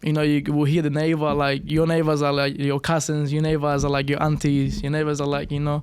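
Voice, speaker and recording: With audible room echo, a man speaks at a fairly quick pace with hardly any pauses, his fairly high pitch delivered in very even loudness and a monotone, flat intonation. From Cuba. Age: young. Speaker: professional boxer. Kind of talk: podcast interview. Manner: halting, many fillers.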